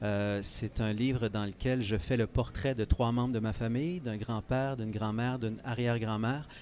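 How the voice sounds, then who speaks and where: At a moderate pace, a man uses an ordinary speaking voice with a medium pitch and fairly even intonation. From Quebec, Eastern Townships. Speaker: author. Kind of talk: interview. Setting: book fair, live on site.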